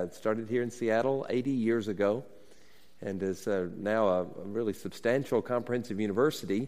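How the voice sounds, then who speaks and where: Speaking with an American accent, a man has an ordinary speaking voice at a medium pitch. He talks at a fairly quick pace with ordinary pitch variation. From US South (Alabama). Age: 50s. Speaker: university president and pastor. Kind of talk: sermon. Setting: stage with audience.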